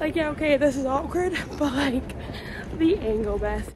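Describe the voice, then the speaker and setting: A woman with an American accent speaks at a moderate pace with lively intonation over noticeable background noise. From Scotland. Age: 20s. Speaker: professional dancer. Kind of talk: casual vlog talk to camera. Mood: excited and nervous. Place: street. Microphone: phone near.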